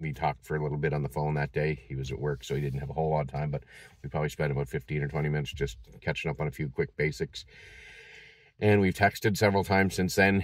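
In an American accent, a man talks at a very fast pace with a very deep, low pitch, vocal fry and ordinary pitch variation. The sound is dry with no echo, over a quiet background. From Massachusetts. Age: 50s. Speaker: vlogger. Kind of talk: personal vlog. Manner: halting, many fillers. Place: car. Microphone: phone near.

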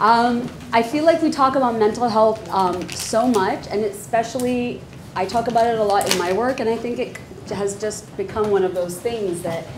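Noticeable background noise sits under a woman's voice. She talks at a moderate pace with ordinary pitch variation. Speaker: panel moderator. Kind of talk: panel moderation, casual talk. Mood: warm, joking. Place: hall. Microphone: lapel.

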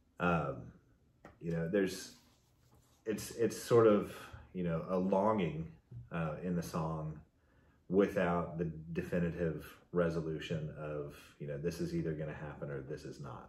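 A man with a very deep, low voice speaks fairly slowly, with long, frequent pauses and big swings in loudness. Room echo is audible. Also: ordinary pitch variation. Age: 40s. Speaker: music fan; guest. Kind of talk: casual chat. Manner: halting. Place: home room. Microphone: camera far.

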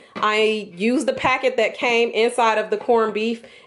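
The woman speaks at a moderate pace. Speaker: home cook vlogger. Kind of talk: tutorial. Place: kitchen.

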